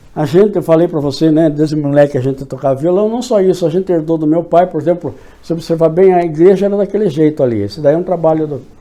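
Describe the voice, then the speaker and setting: Over noticeable background noise, a man talks at a moderate pace and fairly high pitch with ordinary pitch variation. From Brazil, São Paulo state interior (São Miguel Arcanjo). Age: 60s. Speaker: local historian and writer. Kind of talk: interview reminiscence. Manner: halting, with many restarts.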